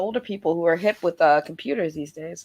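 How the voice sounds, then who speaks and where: The voice is soft-spoken yet animated in tone, with ordinary pitch variation. The pace is very fast. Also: woman. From Cape Verdean heritage. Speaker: gamer and stream guest. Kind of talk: casual chat. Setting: video call livestream.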